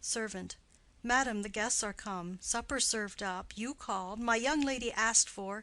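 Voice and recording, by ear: This is reading aloud in a natural voice. Pitch variation is ordinary.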